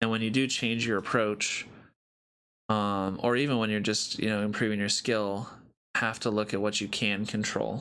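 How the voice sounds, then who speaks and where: This man has a fairly low pitch and a bright, sharp tone. His intonation is monotone and flat, and his loudness stays very even. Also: moderate pace. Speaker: talk show co-host. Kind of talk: casual chat.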